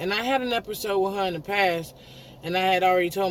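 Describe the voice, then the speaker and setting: Audible room echo surrounds a man's speech, and noticeable background noise comes through as well. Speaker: vlogger. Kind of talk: casual storytelling monologue.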